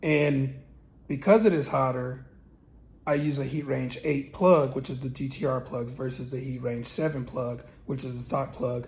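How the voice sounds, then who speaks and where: Audible room echo surrounds a man's somewhat breathy voice at medium pitch, moving at a moderate pace with fairly even intonation. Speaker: car tuner and channel host. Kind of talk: casual tutorial. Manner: hesitant with fillers.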